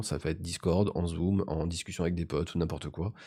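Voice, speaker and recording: Recorded very cleanly over a silent background, a man speaks in a calm tone. His voice is dark and mellow. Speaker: tech reviewer and streamer. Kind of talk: product review.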